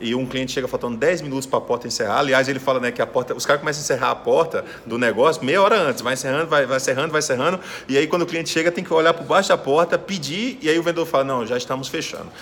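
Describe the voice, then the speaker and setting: A man speaks at a very fast pace in an animated tone, his pitch fairly high for a man with ordinary variation. Noticeable background noise runs underneath. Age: 40s. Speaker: sales speaker and podcast host. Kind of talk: interview.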